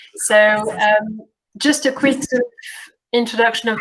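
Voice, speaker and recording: Here a woman speaks with a French accent. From France. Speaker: community program coordinator. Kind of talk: workshop introduction. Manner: hesitant, many fillers.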